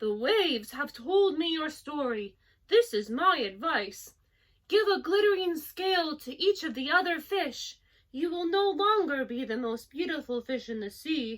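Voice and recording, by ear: The voice is high-pitched and put on, like a character. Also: moderate pace.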